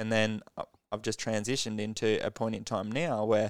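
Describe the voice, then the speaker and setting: The man's voice sits at a medium pitch and moves at a moderate pace. The recording is very clean, with a silent background and a dry, close sound with no echo. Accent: Australian. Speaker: podcast host. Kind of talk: casual interview chat.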